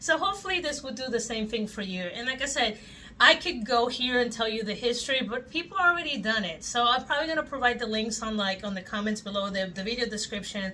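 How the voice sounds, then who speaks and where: Speaking with a Spanish accent, a woman uses a bright, sharp tone and a high pitch. Her delivery is very fast, with lively intonation. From Puerto Rico. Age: 40s. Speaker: toy collector YouTuber. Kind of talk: casual vlog chat.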